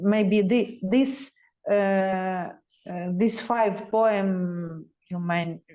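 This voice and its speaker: Speaking with a Ukrainian accent, a woman has a dark, mellow tone at medium pitch. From Lviv, Ukraine. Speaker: poet. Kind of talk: unscripted talk with event host. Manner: hesitant.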